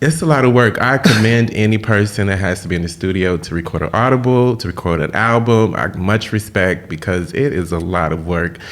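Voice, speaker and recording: A man's fairly low voice at a fairly quick pace, lively in intonation with hardly any pauses, over noticeable background noise. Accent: American. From Texas, Austin and Houston. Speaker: celebrity fashion stylist and author. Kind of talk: interview.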